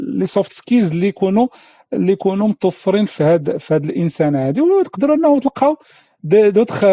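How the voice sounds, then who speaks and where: In a Moroccan accent, a man with a high pitch and a dark, mellow tone talks at a fairly quick pace, his pitch swinging very widely while his loudness stays very even, the sound dry and close with no echo. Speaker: career coach and trainer. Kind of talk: instructional talk to camera. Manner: casual, code-switching with French.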